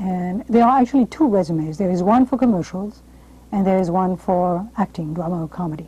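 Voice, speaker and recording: A woman with a French accent, somewhat breathy and dark, mellow in tone, at a fairly quick pace with ordinary pitch variation. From France. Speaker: television host and drama coach; television host, drama coach. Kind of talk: interview and advice monologue; presenter explaining to camera. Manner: formal. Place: studio. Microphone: lapel.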